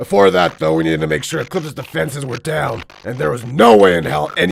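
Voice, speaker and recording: Doing a put-on character voice, a man talks very fast in a raspy, fairly low pitch that swings very widely. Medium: voice reel. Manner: blunt, profane.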